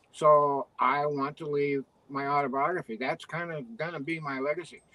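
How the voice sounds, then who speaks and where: Over noticeable background noise, a man with fairly high pitch talks at a moderate pace with fairly even intonation. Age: 60s. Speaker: retired veterinarian and writer. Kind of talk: interview.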